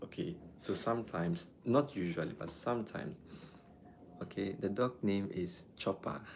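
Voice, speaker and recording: A man with a Ghanaian accent, fairly low pitch and ordinary pitch variation, at a moderate pace. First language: not English. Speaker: doctor. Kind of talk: live stream chat and health talk. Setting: live stream. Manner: halting.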